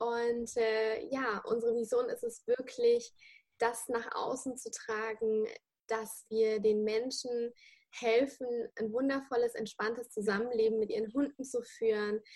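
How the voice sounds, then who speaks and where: Speaking at a fairly slow pace, a woman with a fairly high pitch keeps a monotone, flat intonation. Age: 20s. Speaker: dog trainer and online dog school founder. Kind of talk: interview.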